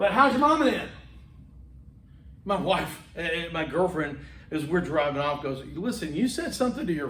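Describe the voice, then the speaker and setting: With an American accent, a man speaks at a moderate pace in a fairly high pitch, his intonation lively, with audible room echo around him. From US South, Homewood, Alabama (Birmingham). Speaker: public speaking instructor. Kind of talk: lecture. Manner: animated.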